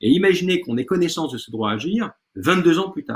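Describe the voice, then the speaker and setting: This man's somewhat breathy voice moves through very wide pitch swings. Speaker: law lecturer. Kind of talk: online lecture. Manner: fast.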